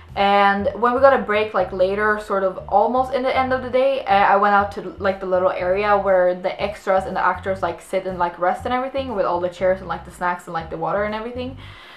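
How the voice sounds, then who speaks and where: Very fast female speech with hardly any pauses, ordinary pitch variation, big swings in loudness and a slight Swedish accent, over noticeable background noise. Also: medium pitch for a woman. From Sweden. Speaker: actress and vlogger. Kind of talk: story time vlog. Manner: casual, many fillers and restarts.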